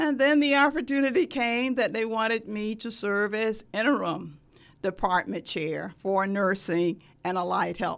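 Using an ordinary speaking voice, a woman talks at a fairly slow pace and fairly high pitch with lively intonation. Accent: American. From US South, Sumter, South Carolina. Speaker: nursing professor. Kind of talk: interview.

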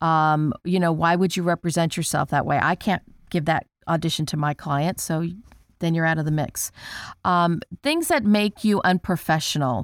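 A woman speaks in a normal speaking voice at a fairly low pitch and moderate pace, with ordinary pitch variation. Her loudness is very even, and the sound is dry and close with no echo. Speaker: casting director. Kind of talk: casual chat.

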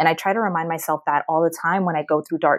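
On a very clean recording with a silent background, a woman with a Mid-Atlantic accent speaks in a fairly low pitch with fairly even intonation. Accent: American, Mid-Atlantic. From US Mid-Atlantic, Maryland. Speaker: career coach. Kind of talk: podcast interview.

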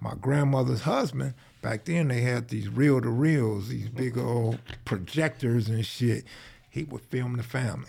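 At a moderate pace, a man speaks at a medium pitch for a man with ordinary pitch variation and a dark, mellow, somewhat breathy tone. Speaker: gang history video creator. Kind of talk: casual chat.

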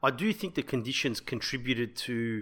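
A man's medium-pitched voice with an Australian accent, on a very clean recording with a silent background. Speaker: rugby league podcast co-host. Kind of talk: casual sports chat. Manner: laughs often.

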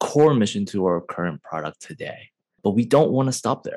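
This man has a normal speaking voice with an American accent. He talks at a moderate pace with lively intonation. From US Midwest, Chicago. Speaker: tech company CEO, trained architect. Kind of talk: interview.

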